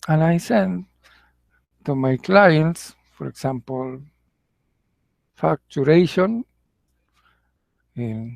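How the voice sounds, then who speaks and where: In a dry, close sound with no echo, a man with a fairly high pitch speaks at a very slow pace, with very wide pitch swings and long, frequent pauses. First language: Spanish. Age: 60s. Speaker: English teacher. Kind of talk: casual monologue. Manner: halting.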